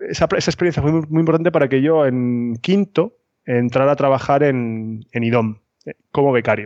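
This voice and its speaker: There is a man talking with a fairly high pitch. His pace is moderate. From Spain, Cartagena (Murcia). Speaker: architect, consultancy founder. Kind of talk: interview. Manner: halting, many repetitions.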